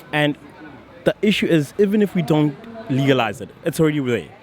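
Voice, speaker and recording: Crowd noise runs in the background as a man speaks at a fairly high pitch. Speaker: student. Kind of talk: street interview.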